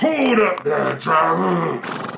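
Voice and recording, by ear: In a put-on character voice, the speaker goes at a very slow pace with a bright, sharp tone, big pitch swings and vocal fry. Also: man.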